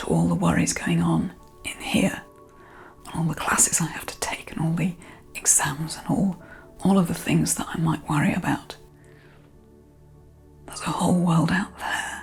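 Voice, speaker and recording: Whispering in a soothing tone, a woman speaks at a moderate pace with long, frequent pauses while music plays in the background. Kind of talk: guided meditation. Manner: soft-spoken, soothing.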